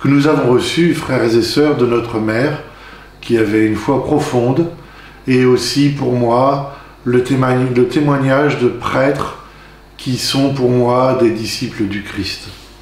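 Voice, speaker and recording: A man speaks at medium pitch with fairly even intonation and a very slow pace. Noticeable background noise and audible room echo are present. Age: 60s. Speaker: deacon candidate, retired farmer. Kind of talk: testimony. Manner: halting.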